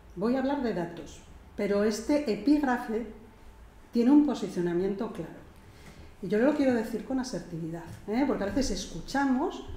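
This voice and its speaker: Speaking fairly slowly, a woman with a fairly high pitch uses lively intonation while room echo is audible. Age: 60s. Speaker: gerontologist. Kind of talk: lecture. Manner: assertive, firm.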